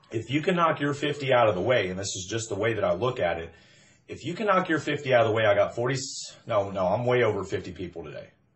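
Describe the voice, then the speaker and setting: A man's medium-pitched voice with lively intonation at a very fast pace. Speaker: network marketing recruiter. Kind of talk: motivational pitch. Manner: loud; animated.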